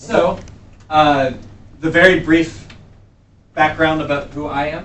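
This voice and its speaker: A man with an American accent speaks at a fairly high pitch. His voice carries audible room echo. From US East Coast. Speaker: workshop instructor, entrepreneur and consultant. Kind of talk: workshop lecture. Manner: fast.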